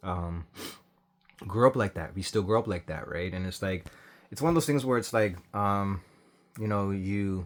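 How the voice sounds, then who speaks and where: A mumbling man with a fairly low pitch and long, frequent pauses. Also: ordinary pitch variation, moderate pace. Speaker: commentary vlogger. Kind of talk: casual reaction commentary. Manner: hesitant, many fillers; tends to mumble and speak low.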